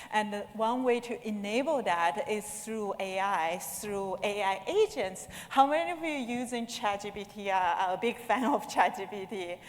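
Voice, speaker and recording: A woman with a non-native accent speaks at a moderate pace, with hardly any pauses and a fairly high pitch that varies in an ordinary way. Noticeable background noise and audible room echo fill the recording. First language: not English. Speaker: conference speaker. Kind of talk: conference talk. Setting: stage with audience.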